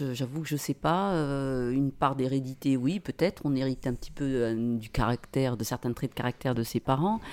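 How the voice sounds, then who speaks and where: In a very clean recording with a silent background, a woman speaks at a moderate pace. Her pitch is very deep and low, with ordinary variation. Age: 50s. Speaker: English teacher and mother, podcast guest. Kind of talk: casual interview chat. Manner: hesitant, many repetitions and fillers.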